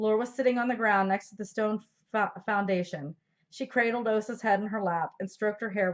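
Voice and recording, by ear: The background is quiet as someone reads aloud in a natural voice.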